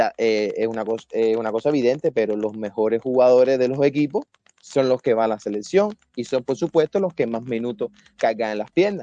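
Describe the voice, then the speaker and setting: With a dark, mellow tone and medium pitch, a man speaks at a fairly quick pace with lively intonation, in a dry, close sound with no echo. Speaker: football analyst. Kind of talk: casual debate.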